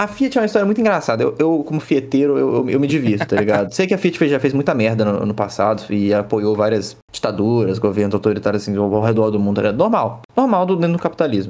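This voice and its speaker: Delivered at a very fast pace with hardly any pauses, the speech keeps a very even loudness and lively intonation. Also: man, medium pitch for a man. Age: 20s. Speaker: automotive YouTuber. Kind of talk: casual chat. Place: home room.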